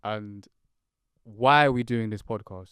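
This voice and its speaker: A man speaks with a London accent. His tone is animated. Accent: London, multicultural London English. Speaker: podcast co-host. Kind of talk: casual chat.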